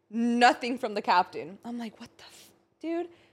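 A woman speaks at a high pitch. Her pitch swings very widely. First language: Spanish. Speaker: podcast co-host. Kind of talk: casual chat. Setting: studio.

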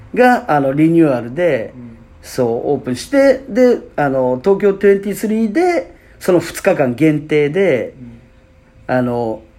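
Someone speaks at a very slow pace against noticeable background noise. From Fukuoka, Japan. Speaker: podcast host, basketball player. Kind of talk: casual chat. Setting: apparel shop used as studio.

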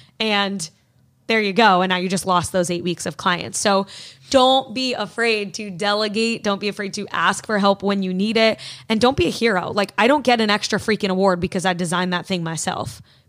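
An ordinary speaking voice belongs to this woman, at medium pitch with ordinary pitch variation and a fairly quick pace. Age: 20s. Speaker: nutrition coach. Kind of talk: casual chat.

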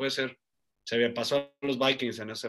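This man has a normal speaking voice, a medium pitch and a fairly quick pace. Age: 30s. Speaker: sports journalist and betting analyst. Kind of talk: casual interview.

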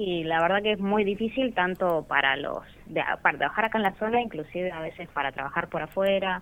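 With a plain, everyday voice, a woman talks at a fairly quick pace with hardly any pauses. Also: medium pitch for a woman, ordinary pitch variation. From Rawson, Chubut, Argentina. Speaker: comic artist. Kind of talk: radio interview.

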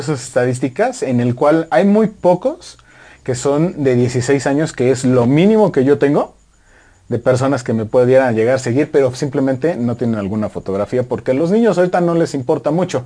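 With lively intonation and a dark, mellow tone, a man speaks at a moderate pace and a fairly high pitch. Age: 30s. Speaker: running podcast co-host and photographer. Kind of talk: casual chat.

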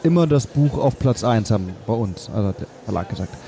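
Over crowd noise in the background, a man speaks at a moderate pace. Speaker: podcast host, film producer. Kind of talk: interview. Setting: book fair.

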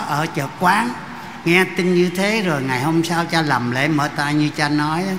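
A man's fairly high voice with ordinary pitch variation, noticeable background noise and audible room echo. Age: 80s+. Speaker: priest. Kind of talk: speech at a Mass. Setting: church.

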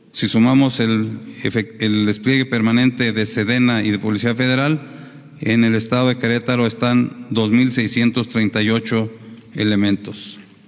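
A man with a medium pitch talks at a fairly slow pace in a monotone, flat intonation and at very even loudness. Noticeable background noise runs behind him. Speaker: military commander. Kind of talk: official briefing.

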